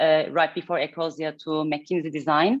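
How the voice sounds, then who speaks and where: A woman's very deep, low-pitched voice moves at a fairly quick pace. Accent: Turkish. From Turkey, Istanbul. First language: Turkish. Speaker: head of design. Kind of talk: fireside chat interview. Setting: hybrid event with live audience.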